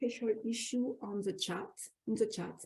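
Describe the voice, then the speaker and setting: A woman's very slow, fairly high-pitched voice with a French accent, vocal fry, and a dark, mellow tone. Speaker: academic researcher and special issue co-editor. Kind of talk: webinar introduction. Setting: online webinar. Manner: halting, many fillers and restarts.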